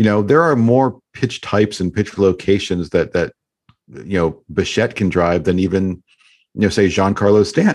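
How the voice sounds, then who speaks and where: A man with a plain, everyday voice speaks at a fairly low pitch and a moderate pace, his intonation lively and his loudness very even. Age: 50s. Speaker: baseball analyst. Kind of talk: casual chat.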